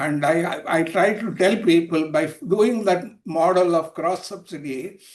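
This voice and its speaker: Using an Indian accent, a man speaks in a high pitch with ordinary pitch variation. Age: 80s+. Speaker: retired railway officer and healthcare advocate. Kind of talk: Q&A comment in online talk. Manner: halting.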